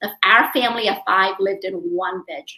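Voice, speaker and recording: With a Vietnamese accent, a woman speaks at a moderate pace in a medium pitch, her tone bright and sharp. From US South, New Orleans. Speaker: doctor and real estate investor. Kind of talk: interview.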